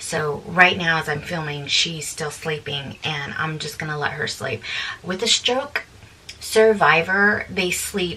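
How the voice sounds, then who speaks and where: Soft-spoken and at a fairly slow pace, a woman talks over noticeable background noise. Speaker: vlogger and family caregiver. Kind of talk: casual chat. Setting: home laundry room.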